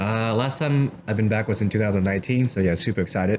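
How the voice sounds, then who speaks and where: The speaker talks at a very fast pace with a Vietnamese accent. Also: man. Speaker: office worker and hobby photographer. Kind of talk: casual interview.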